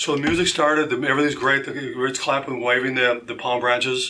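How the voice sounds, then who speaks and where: Here is a man with a normal speaking voice and a fairly high pitch. He moves at a fairly quick pace with fairly even intonation. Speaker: hairstylist and salon owner. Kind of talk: testimony. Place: studio. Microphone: studio mic.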